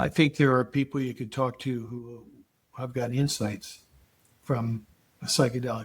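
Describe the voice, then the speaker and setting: The voice is somewhat breathy, with fairly even intonation, a moderate pace and long, frequent pauses. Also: man, medium pitch for a man. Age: 80s+. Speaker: psychedelic research scientist. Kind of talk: interview. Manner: halting.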